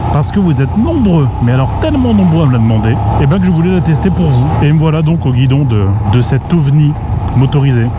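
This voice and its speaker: Over noticeable background noise, a man talks at a very fast pace in a dry sound with no echo. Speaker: motorcycle reviewer. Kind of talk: casual moto vlog commentary. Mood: playful, laughing. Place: motorbike. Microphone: helmet.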